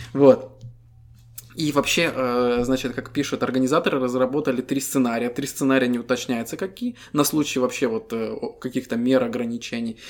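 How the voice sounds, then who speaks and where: With a plain, everyday voice, a man of medium pitch speaks at a moderate pace with fairly even intonation. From Estonia. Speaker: podcast co-host. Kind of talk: casual chat.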